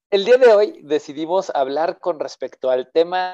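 A man with a high pitch and a dark, mellow tone talks at a very slow pace with lively intonation. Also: dry, close sound with no echo. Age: 30s. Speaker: podcast host. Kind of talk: casual chat.

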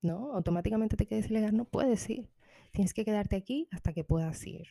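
Somewhat breathy and dark, mellow in tone, the voice moves at a fairly quick pace with lively intonation, recorded dry and close with no echo. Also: woman. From Dominican Republic. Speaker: podcaster. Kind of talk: personal storytelling monologue.

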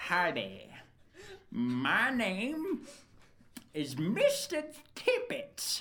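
A female-sounding put-on character voice at a very slow pace, with long, frequent pauses. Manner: comic, over the top.

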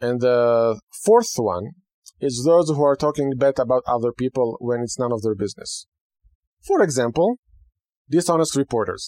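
A man with an Israeli accent speaks at a medium pitch in a dark, mellow tone, with ordinary pitch variation and long, frequent pauses. The sound is dry and close with no echo, and the recording is very clean with a silent background. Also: moderate pace. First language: Hebrew. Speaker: rabbi and radio host. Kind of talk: radio talk monologue.

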